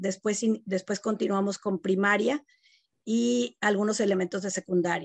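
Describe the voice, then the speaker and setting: A woman speaks at a fairly slow pace with ordinary pitch variation. The background is quiet, and the sound is dry with no echo. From Mexico, Monterrey; Nuevo León, Mexico. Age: 50s. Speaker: education company co-founder. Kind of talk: interview. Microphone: video call.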